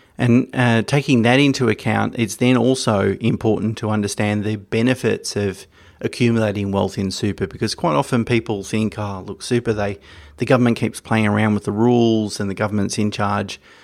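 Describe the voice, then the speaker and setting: In an Australian accent, a man with a fairly low voice speaks at a fairly quick pace with fairly even intonation on a very clean recording with a silent background. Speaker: financial podcast host. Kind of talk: solo educational talk. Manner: hesitant with fillers.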